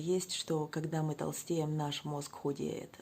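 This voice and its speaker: Quiet and dark, mellow in tone, this woman's voice has a very deep, low pitch. She speaks at a moderate pace with monotone, flat intonation. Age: 40s. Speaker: weight-loss vlogger. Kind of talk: casual vlog monologue. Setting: at home, child sleeping nearby. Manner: quiet, subdued speech.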